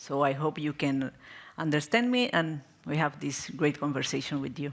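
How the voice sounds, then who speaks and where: A woman with a Spanish accent speaks at a moderate pace in a very deep, low pitch, her intonation lively. The recording is very clean, with a silent background. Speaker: NGO programme coordinator and activist. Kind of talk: panel discussion. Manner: halting.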